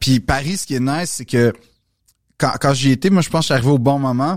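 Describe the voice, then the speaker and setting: A man at a medium pitch with a Quebec accent, on a very clean recording with a silent background. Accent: Québécois French. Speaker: comedian and actor. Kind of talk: casual chat. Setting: studio.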